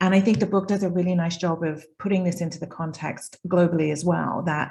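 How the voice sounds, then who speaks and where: A woman with a British accent speaks at a fairly quick pace, her pitch fairly low. Her tone is dark and mellow, with vocal fry and fairly even intonation. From UK. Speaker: data and analytics consultant. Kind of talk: panel discussion. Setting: video call.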